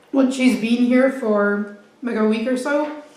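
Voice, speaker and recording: A woman's high-pitched, monotone, flat voice at a fairly slow pace, with audible room echo and noticeable background noise. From Scotland. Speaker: food vlogger. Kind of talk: mukbang eating show chat. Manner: casual, eating while talking.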